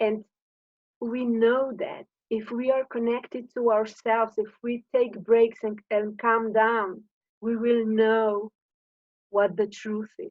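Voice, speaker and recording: A woman with a Slovenian accent, a fairly high voice, monotone, flat intonation and a very slow pace. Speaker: coach on high sensitivity. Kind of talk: informal talk to camera. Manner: halting.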